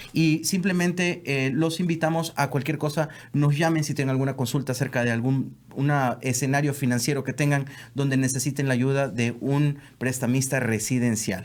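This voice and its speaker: A man talks in a plain, everyday voice, fairly high in pitch, at a fairly quick pace. His pitch variation is ordinary and his loudness very even. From South America. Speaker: mortgage lender. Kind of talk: casual podcast chat.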